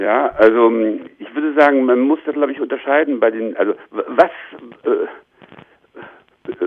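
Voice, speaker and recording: A man speaking at a fairly slow pace. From eastern Germany, Leipzig. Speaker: sociology professor. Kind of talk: interview. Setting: remote call. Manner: hesitant, many filler sounds.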